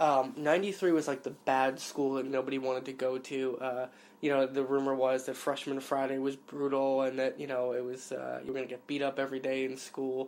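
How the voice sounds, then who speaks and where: A man with an American accent, medium pitch and flat monotone delivery, moving at a fairly quick pace with hardly any pauses. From New York City (Queens). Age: 20s. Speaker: interviewee. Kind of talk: personal storytelling. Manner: casual, with many fillers.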